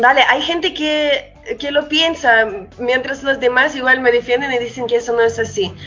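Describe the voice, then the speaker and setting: A woman speaks at a moderate pace with a high pitch and fairly even intonation. Music plays in the background. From Russia. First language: Russian (speaking Spanish). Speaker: musician and producer. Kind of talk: casual interview.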